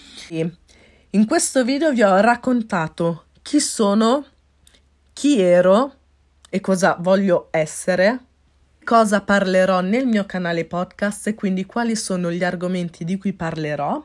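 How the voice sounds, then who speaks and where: The tone is upbeat, with lively intonation. The pace is fairly slow. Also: woman. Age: 20s. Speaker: podcaster and life coach. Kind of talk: solo podcast monologue.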